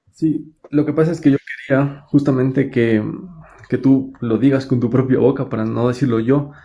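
A man's dark, mellow, somewhat breathy voice at medium pitch, moderate in pace and monotone, flat in intonation. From Latin America. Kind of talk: live debate. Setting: livestream. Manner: halting.

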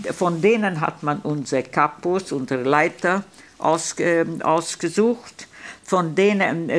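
At a very slow pace, a woman speaks with a fairly low pitch. Her pitch variation is ordinary. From Hungary. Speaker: Holocaust survivor. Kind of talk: eyewitness talk to students. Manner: hesitant, many filler sounds. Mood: calm, earnest recollection. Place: hall. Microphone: podium.

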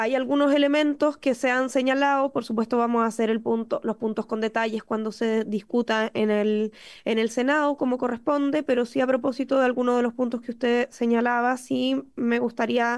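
A woman speaks at a high pitch and a moderate pace with very even loudness, monotone, flat intonation, hardly any pauses and a quiet background. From Chile. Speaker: government minister. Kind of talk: formal parliamentary testimony. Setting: parliamentary committee room. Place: meeting room. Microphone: podium.

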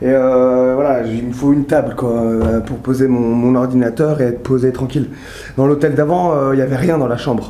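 There is audible room echo and light background noise as a man talks at a fairly quick pace. His intonation is monotone and flat. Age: 30s. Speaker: vlogger and firefighter. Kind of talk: travel vlog. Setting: outdoors and hotel, handheld camera. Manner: casual, hesitant with fillers. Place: home room. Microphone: phone near.

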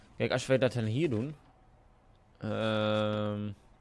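A man's fairly low voice with a strong eastern Dutch accent. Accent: strong rural eastern Dutch. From eastern Netherlands. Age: young. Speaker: gaming YouTuber. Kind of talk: casual gameplay commentary. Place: home room.

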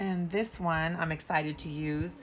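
There is music in the background. Over it, a woman talks at a fairly slow pace. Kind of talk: casual haul show-and-tell. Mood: cheerful, delighted. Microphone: phone near.

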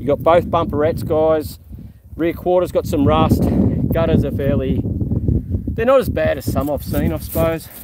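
A man at a fairly slow pace, dry with no echo, amid loud background noise. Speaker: car seller showing vehicles. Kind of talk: casual vlog commentary. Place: open country. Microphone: phone near.

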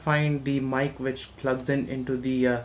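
Moderate pace from a male speaker. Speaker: tech youtuber. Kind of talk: casual vlog chat, product unboxing. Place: home room. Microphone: phone near.

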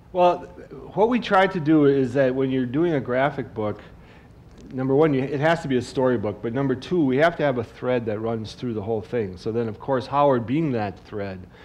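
A man with an ordinary speaking voice and an American accent talks at a fairly quick pace. His pitch is medium, and his intonation is lively. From Wisconsin. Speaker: cartoonist; guest. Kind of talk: on-stage talk. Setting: stage with audience. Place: stage.

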